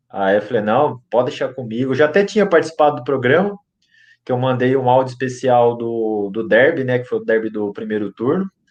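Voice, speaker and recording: At a fairly quick pace, a man with a medium pitch speaks in a normal speaking voice with lively intonation. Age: 20s. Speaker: football fan podcast contributor. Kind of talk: casual chat.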